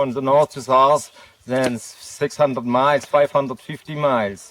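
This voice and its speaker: A man with a German accent, medium pitch, fairly even intonation and a moderate pace. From southern Germany, Stuttgart area. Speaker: thru-hiker. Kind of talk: casual interview. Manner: halting.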